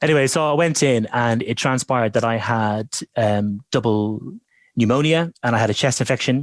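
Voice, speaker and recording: A man's medium-pitched voice in an Irish accent, at a moderate pace with ordinary pitch variation and very even loudness, in a very clean recording with a silent background and a dry, close sound with no echo. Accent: gentle Irish lilt. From Ireland. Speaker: voiceover artist. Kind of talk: interview. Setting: at home.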